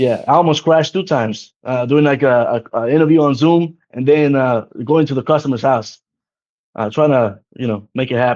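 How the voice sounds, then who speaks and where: A man speaks with a non-native accent at a fairly high pitch. His pitch variation is ordinary. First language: not English. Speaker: insurance agency owner. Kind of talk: podcast interview. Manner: fast.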